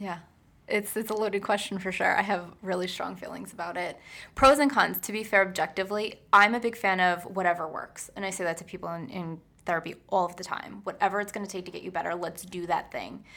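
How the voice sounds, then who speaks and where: A woman with a bright, sharp tone speaks at a very fast pace with big swings in loudness, in a very clean recording with a silent background. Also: medium pitch for a woman, ordinary pitch variation. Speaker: psychotherapist. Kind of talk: interview.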